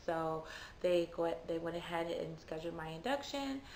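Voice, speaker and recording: A woman speaks quietly at a moderate pace and fairly low pitch, with audible room echo around her. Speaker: vlogger. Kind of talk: personal story. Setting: at home. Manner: quiet, low volume; casual, chatty.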